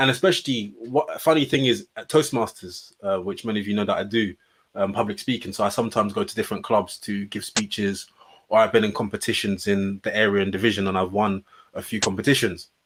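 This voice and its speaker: A man with a British accent, fairly low-pitched, talking at a very fast pace. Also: ordinary pitch variation. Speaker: podcast co-host. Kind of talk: casual chat. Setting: studio. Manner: well spoken.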